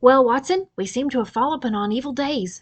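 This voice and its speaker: Putting on a croaky character voice, a woman speaks fairly quickly at a high pitch with lively intonation. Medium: read story. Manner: imperious, sharp.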